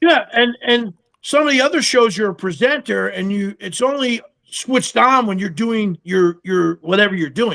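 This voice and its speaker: Bright and sharp in tone, the voice sounds animated, moving at a moderate pace with lively intonation. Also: man, high pitch for a man. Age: 60s. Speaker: TV survivalist and army veteran. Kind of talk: casual chat.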